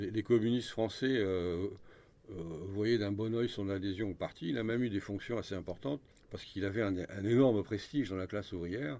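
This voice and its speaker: A man with a fairly low pitch and a dark, mellow tone speaks at a fairly quick pace with ordinary pitch variation. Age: 70s. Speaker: author and historian. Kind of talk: radio interview. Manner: halting, many repetitions.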